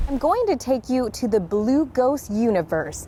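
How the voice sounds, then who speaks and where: Amid noticeable background noise, a woman with a high pitch speaks at a fairly slow pace with very wide pitch swings. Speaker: news anchor and reporter. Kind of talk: news field standup.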